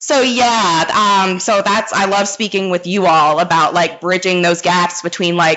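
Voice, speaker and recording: Noticeable background noise sits behind a woman speaking at a fairly slow pace, with ordinary pitch variation and very even loudness. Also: medium pitch for a woman. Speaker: former academic librarian, researcher. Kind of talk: panel discussion. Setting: live show at a conference.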